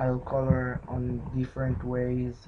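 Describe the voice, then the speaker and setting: A man with a non-native accent speaking very slowly over noticeable background noise. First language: not English. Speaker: pixel art video maker. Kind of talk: tutorial narration while drawing. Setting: at home. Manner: halting. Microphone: laptop mic.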